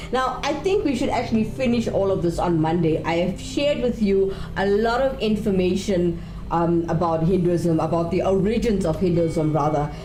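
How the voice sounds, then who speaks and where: A woman at medium pitch speaks at a moderate pace with lively intonation and very even loudness, with audible room echo and noticeable background noise. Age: 30s. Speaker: TV show host. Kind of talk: live presenting.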